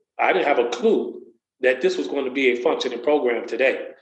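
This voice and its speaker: The room's echo can be heard. A man's speech moves at a fairly quick pace. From US Midwest, Waukegan, Illinois. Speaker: motivational speaker and community program coordinator. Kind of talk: personal testimony in interview.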